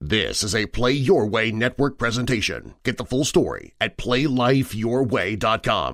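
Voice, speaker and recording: An unremarkable speaking voice moves at a fairly slow pace with hardly any pauses and ordinary pitch variation. The recording is very clean, with a silent background. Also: man, medium pitch for a man. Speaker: voice actor. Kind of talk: movie trailer.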